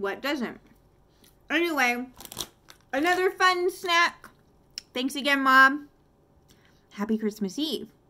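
A woman's raised, projected voice with very wide pitch swings, a very slow pace and long, frequent pauses. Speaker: snack reviewer. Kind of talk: casual vlog chat. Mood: playful, self-mocking. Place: home room. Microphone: phone near.

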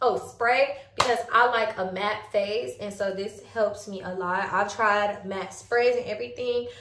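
A woman speaks at a fairly high pitch with fairly even intonation. The room echo is audible. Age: 20s. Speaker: beauty vlogger. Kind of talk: makeup tutorial. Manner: casual, filler-heavy. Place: home room. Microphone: phone near.

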